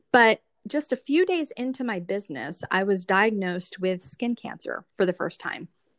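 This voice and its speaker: A woman speaks in an unremarkable speaking voice at a medium pitch. Her pace is moderate and her intonation lively. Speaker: skincare consultant. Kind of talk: casual interview.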